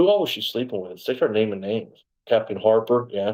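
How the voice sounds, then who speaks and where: A medium-pitched man at a fairly quick pace, with ordinary pitch variation, on a very clean recording with a silent background. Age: 60s. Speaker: former police officer, wrongfully convicted interviewee. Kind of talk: interview testimony. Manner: rambling, halting with self-corrections.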